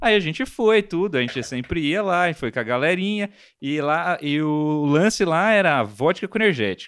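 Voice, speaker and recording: Using a plain, everyday voice, a man talks at a moderate pace with a fairly high pitch and lively intonation, in a very clean recording with a silent background. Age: 30s. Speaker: podcast host. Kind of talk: casual chat.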